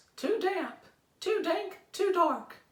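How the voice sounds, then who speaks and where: This is a put-on character voice. It sits at an extremely high pitch and sounds squeaky. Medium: read story.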